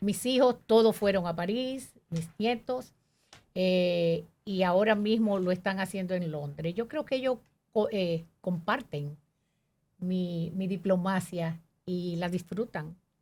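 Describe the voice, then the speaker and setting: Somewhat breathy, a woman speaks at a very slow pace with a medium pitch and ordinary pitch variation. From Dominican Republic, Manzanillo Bay area. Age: 70s. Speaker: diplomat, ambassador. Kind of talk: interview.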